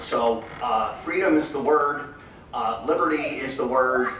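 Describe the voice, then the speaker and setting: There is noticeable background noise and audible room echo as a man speaks in a fairly high pitch with ordinary pitch variation. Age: 60s. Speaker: political candidate. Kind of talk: campaign speech; Q&A answer. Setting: convention hall with audience. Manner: halting.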